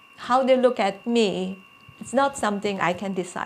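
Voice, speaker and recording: Against noticeable background noise, a woman with a Chinese accent speaks at a moderate pace, her pitch fairly high with ordinary variation. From China. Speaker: career coach. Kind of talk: personal talk to camera. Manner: hesitant with fillers.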